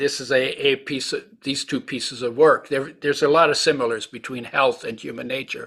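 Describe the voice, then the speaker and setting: Over a very clean, silent background, a man speaks fairly quickly with hardly any pauses, his fairly high voice bright and sharp, flat and monotone in intonation, yet swinging widely in loudness. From Europe, fled during World War 2. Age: 80s+. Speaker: nutrition author and entrepreneur. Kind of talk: podcast interview. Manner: halting, with false starts.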